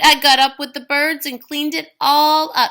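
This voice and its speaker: A woman uses a put-on character voice, high-pitched, with big swings in loudness. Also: moderate pace, fairly even intonation. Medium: read story. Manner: lilting, easygoing.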